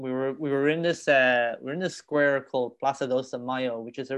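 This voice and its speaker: This man speaks with an Irish accent at a medium pitch. His delivery is monotone and flat at a moderate pace. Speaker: comedian and actor. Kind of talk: casual interview chat.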